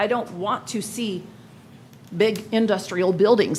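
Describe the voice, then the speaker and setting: A woman at a moderate pace, with audible room echo. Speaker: resident speaking at public comment. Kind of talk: public comment at city council meeting. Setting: council chamber meeting.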